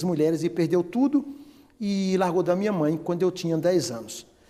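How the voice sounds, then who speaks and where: A man's dark, mellow tone. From Bahia, northeastern Brazil. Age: 60s. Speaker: cosmetics company president. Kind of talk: interview testimony.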